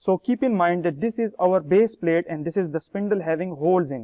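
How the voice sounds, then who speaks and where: The man's voice sits at a high pitch with ordinary pitch variation. The background is quiet. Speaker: lab demonstrator. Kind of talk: tutorial. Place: classroom.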